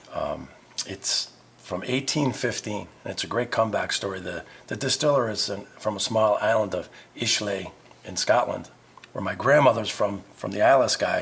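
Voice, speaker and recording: There is noticeable background noise as a man with an American accent speaks at a moderate pace. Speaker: navy veteran and pub owner. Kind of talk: interview. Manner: halting.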